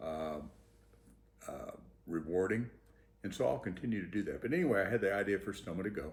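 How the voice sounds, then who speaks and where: With long, frequent pauses and big swings in loudness, a man speaks at a fairly low pitch in a somewhat breathy voice. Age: 70s. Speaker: inventor sharing personal story. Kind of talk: personal testimony, casual monologue. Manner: hesitant, many fillers.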